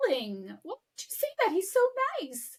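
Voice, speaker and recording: A female-sounding voice speaks in a put-on character voice at a moderate pace. The pitch is extremely high. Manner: gently scolding.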